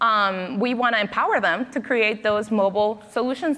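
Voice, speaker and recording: A woman with a Spanish accent, fairly high in pitch, ordinary pitch variation, moderate pace, and noticeable background noise. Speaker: panel moderator. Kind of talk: moderated panel discussion.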